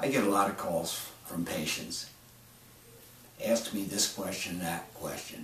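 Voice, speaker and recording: With a fairly low pitch and ordinary pitch variation, a man talks at a fairly slow pace with long, frequent pauses, amid noticeable background noise and audible room echo. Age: 70s. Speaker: medical doctor. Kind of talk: promotional monologue. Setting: doctor's office.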